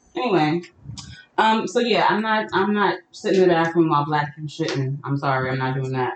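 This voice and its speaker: Lively intonation and a fairly quick pace mark this woman's fairly low voice. There is noticeable background noise. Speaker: podcast host. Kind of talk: casual banter, comedic chat. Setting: live session, online stream.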